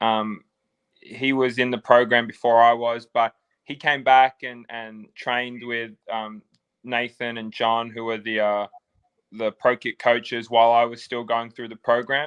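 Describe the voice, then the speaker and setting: A man with an Australian accent and a medium pitch speaks fairly slowly in a monotone, flat delivery with big swings in loudness. The sound is dry and close with no echo against a quiet background. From Australia, Sydney. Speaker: football player. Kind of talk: interview.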